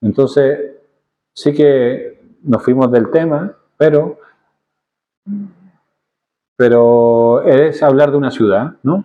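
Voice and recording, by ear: With long, frequent pauses, a man speaks at a slow pace in a medium pitch with ordinary pitch variation.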